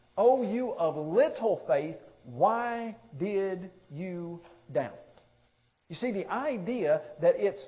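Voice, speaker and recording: A man speaks at a very slow pace in a high voice for a man, with lively intonation, long and frequent pauses, and audible echo from the room. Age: 30s. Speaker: preacher. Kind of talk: sermon.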